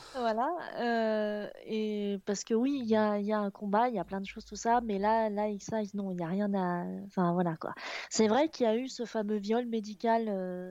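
This woman's voice has a dark, mellow tone and a fairly high pitch, with fairly even intonation. She speaks at a fairly slow pace against a quiet background. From Picardy, northern France. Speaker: video and motion designer. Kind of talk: casual chat.

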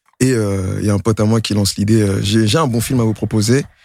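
Here a man speaks fairly quickly with fairly even intonation. It is a normal speaking voice on a very clean recording with a silent background. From Montreuil, Paris suburbs. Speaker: rapper. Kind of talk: casual chat. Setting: studio.

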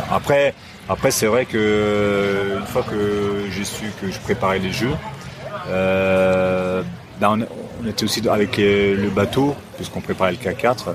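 Noticeable background noise sits behind a man with a fairly low pitch and fairly even intonation. He talks at a very slow pace with long, frequent pauses. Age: 50s. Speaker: former Olympic kayaker. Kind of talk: casual chat. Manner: halting.

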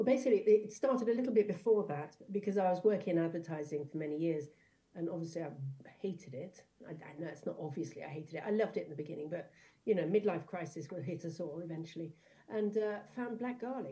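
Somewhat breathy and dark, mellow in tone, a woman talks at a very fast pace with fairly low pitch. Her loudness swings widely. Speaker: food importer and distributor. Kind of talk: casual chat.

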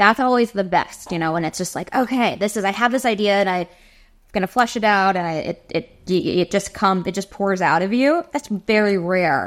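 Speaking at a moderate pace in an unremarkable speaking voice, a woman with an American accent keeps a medium pitch and ordinary pitch variation on a very clean recording with a silent background. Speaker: singer-songwriter. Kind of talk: casual chat.

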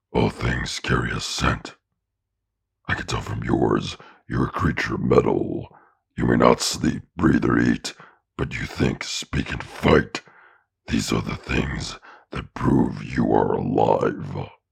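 In a put-on character voice, a man speaks raspy and very deep at a fairly slow pace. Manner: solemn, ritual formal speech.

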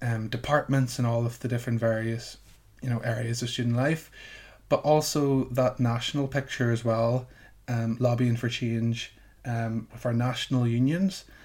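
Somewhat breathy, the voice keeps a moderate pace and fairly even intonation. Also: man, medium pitch for a man. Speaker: students' union president. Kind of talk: casual interview chat. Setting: remote recording from home. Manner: hesitant, filler-heavy, repeats words.

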